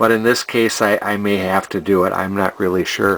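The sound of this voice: The man's voice is fairly low in pitch with a fairly bright tone. His intonation stays fairly even, and the pace is fairly slow.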